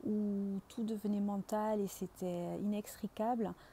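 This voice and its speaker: A woman's medium-pitched, somewhat breathy voice has a dark, mellow tone and monotone, flat intonation. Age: 40s. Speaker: engineer and project manager retraining as coach. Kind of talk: client testimonial. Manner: hesitant, many filler words.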